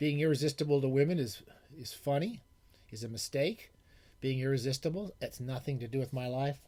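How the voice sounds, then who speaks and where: Mumbling, a man talks at a fairly quick pace. His pitch is fairly high with ordinary variation. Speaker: retired professor and book podcaster. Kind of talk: casual monologue. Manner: fast. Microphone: new microphone.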